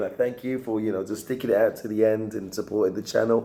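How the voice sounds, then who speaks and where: With noticeable background noise behind him, a man talks very fast at a medium pitch in a monotone, flat intonation. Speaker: channel host. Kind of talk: video outro.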